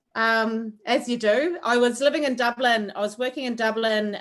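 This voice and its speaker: A woman with a strong New Zealand accent speaks at a moderate pace with ordinary pitch variation. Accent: thick New Zealand. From New Zealand, Wairoa. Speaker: chef. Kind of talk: online cooking class chat. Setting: video call.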